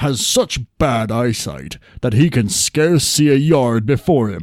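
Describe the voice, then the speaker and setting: On a very clean recording with a silent background, a man uses a put-on character voice at a moderate pace. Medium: read story.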